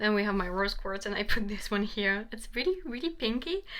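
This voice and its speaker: A woman with a non-native accent, bright and sharp in tone, at a moderate pace. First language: not English. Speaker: tarot reader. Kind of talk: tarot reading. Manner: halting.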